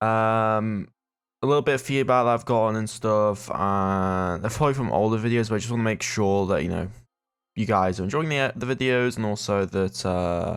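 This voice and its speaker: In a British accent, a man talks at a fairly quick pace. His pitch is fairly low, with ordinary variation. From Britain. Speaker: gaming YouTuber. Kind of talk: let's play commentary; scripted in-character narration. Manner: fast; halting, many fillers.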